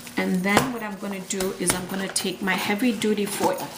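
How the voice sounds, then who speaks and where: A woman speaks with fairly even intonation, with audible room echo and noticeable background noise. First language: Gujarati. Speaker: cooking channel host. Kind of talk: cooking tutorial. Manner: casual, repetitive with fillers.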